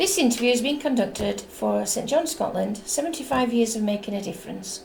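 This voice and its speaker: A woman's fairly high voice, fairly quick and lively in intonation, over noticeable background noise. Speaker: oral history interviewer. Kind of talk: interview questions.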